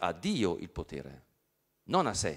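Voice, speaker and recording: The voice carries vocal fry at a very slow pace. The background is quiet. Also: man. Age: 50s. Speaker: professor. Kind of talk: lecture. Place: hall. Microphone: handheld.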